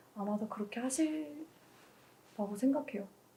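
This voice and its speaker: A woman speaks with a dark, mellow tone at a fairly high pitch. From North Korea. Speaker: university student. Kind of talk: interview.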